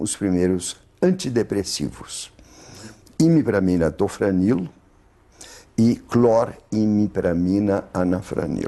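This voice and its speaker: Lively in intonation yet very slow in pace, a man speaks at a fairly low pitch with a dark, mellow tone. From Poland. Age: 80s+. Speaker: psychiatrist. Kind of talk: interview answer.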